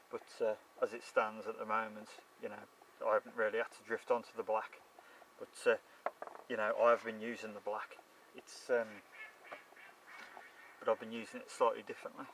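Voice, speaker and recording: A man talks at a moderate pace with big swings in loudness and long, frequent pauses, over noticeable background noise. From Shropshire, England. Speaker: carp angler. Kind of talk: casual fishing video diary to camera. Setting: outdoors.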